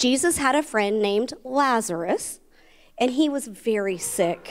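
In a quiet background, a woman talks at a fairly slow pace. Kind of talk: children's sermon storytelling. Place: church.

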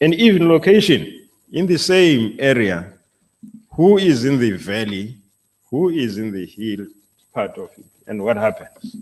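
At a medium pitch, a man speaks at a fairly slow pace with long, frequent pauses. His voice shows very wide pitch swings and big swings in loudness. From South Africa. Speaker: university vice chancellor; moderator of a panel discussion. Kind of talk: moderating. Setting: stage with audience. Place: hall. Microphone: podium.

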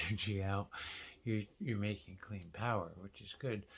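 His intonation stays fairly even as the man speaks in a fairly low register. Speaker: vlogger. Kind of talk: casual vlog chat. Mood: thoughtful, explaining. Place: home room. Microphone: phone near.

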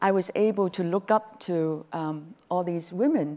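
The speaker is a woman with a dark, mellow tone. She talks at a very slow pace. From Hong Kong. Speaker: business executive; panelist. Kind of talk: panel discussion. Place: stage. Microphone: lapel.

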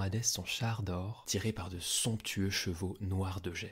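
Somewhat breathy male speech at a fairly slow pace, on a very clean recording with a silent background. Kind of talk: scripted mythology narration, storytelling. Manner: clear, measured, didactic storyteller pace.

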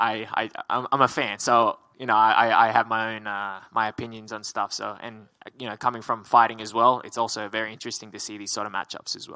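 Over a quiet background, a man speaks fairly quickly in a bright, sharp tone and a flat monotone. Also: hardly any pauses. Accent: Australian. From Australia. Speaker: MMA fighter. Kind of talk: media interview. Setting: media day. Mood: relaxed, smiling. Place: hall. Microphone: handheld.

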